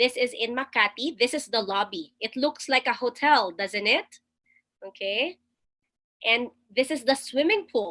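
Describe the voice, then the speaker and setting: Talking fairly slowly with long, frequent pauses, a woman with a Filipino accent uses a high pitch, a bright, sharp tone and lively intonation. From Philippines. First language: Tagalog. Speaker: webinar presenter. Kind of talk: webinar presentation. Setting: video call.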